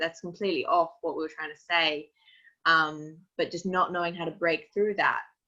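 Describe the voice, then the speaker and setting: In an Australian accent, a woman speaks at a moderate pace with a bright, sharp tone, fairly low pitch and monotone, flat intonation. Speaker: activist and strategist. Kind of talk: webinar talk.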